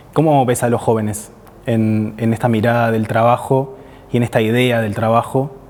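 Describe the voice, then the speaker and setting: A medium-pitched man with a Rioplatense accent, fairly even intonation and a moderate pace. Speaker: interviewer. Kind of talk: interview conversation.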